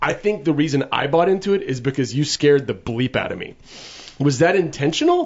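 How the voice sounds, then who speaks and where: Noticeable background noise sits behind a man speaking at a fairly quick pace. His pitch is fairly high and his intonation lively. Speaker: podcast co-host. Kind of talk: casual chat. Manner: fast talker.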